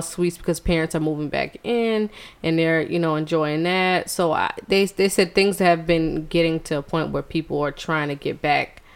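A woman talks at a moderate pace with an American accent, barely pausing. Hers is a plain, everyday voice. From US South, Charleston, South Carolina. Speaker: podcast co-host. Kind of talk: casual chat.

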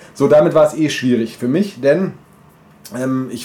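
Ordinary pitch variation is heard over noticeable background noise. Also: man. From German village near Bamberg. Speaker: podcast co-host. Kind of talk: casual chat.

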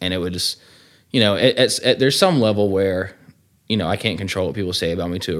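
A man with a Southern US accent and a very deep, low pitch, talking at a very fast pace. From Georgia, US. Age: 20s. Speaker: man in addiction recovery. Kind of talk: testimony.

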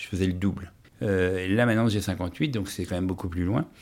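On a very clean recording with a silent background, a man keeps up a moderate pace. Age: 50s. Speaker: person living with HIV. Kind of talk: testimony. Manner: halting.

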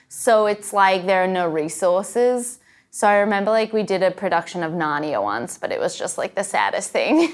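A woman with an Australian accent speaks at a moderate pace and medium pitch, her intonation lively, on a very clean recording with a silent background. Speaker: sketch comedy writer and performer. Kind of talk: casual interview chat. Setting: rehearsal studio.

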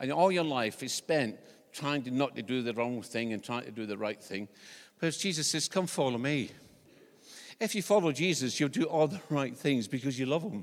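On a very clean recording with a silent background, a man in a Scottish accent speaks at a moderate pace with lively intonation. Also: medium pitch for a man. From Scotland. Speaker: visiting preacher. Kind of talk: sermon. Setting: church. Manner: humorous, conversational.

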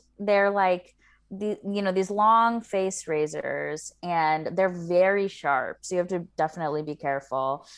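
A woman has an ordinary speaking voice at a medium pitch with ordinary pitch variation, speaking at a fairly slow pace on a very clean recording with a silent background. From US South, rural Kentucky/Tennessee area. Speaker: podcast guest. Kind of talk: casual chat.

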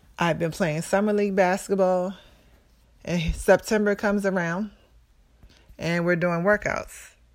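A woman talks at medium pitch in a monotone, flat way, at a fairly slow pace with long, frequent pauses. The recording is very clean, with a silent background. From Maryland, US. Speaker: former college basketball player, heart surgery survivor. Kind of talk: personal testimony.

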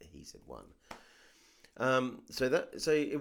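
A man speaks with vocal fry. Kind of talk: casual chat.

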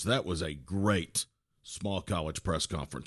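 The background is quiet as a man speaks at a fairly quick pace. His pitch is very deep and low. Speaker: sports podcast host. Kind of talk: scripted intro; podcast interview.

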